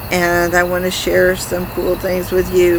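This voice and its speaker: A woman talks at a fairly slow pace, her voice carrying audible room echo over noticeable background noise. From rural upbringing on a farm. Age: 60s. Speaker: gardening channel host. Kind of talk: casual tutorial. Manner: casual, conversational with fillers.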